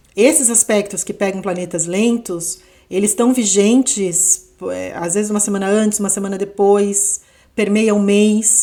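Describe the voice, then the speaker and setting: Fairly even intonation marks this woman's voice, pitched in the medium range. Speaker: astrologer. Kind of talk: astrology forecast monologue. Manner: unhurried, not fast; conversational, with fillers.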